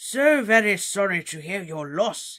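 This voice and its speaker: Putting on a character voice, a man speaks high for a man, raised and projected, with lively intonation at a fairly slow pace. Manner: grave, solemn, sympathetic.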